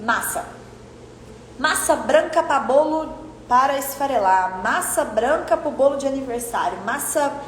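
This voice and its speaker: A woman's high-pitched voice with lively intonation at a fairly slow pace, amid noticeable background noise and audible room echo. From Brazil, Minas Gerais. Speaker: online course instructor for delivery businesses. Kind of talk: online class lecture. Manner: animated.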